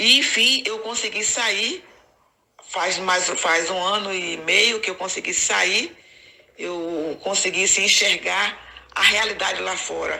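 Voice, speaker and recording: Here a woman speaks at a very slow pace. Her pitch is medium, with ordinary variation. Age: 60s. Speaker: ex-Jehovah's Witness YouTuber. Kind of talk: personal testimony to camera.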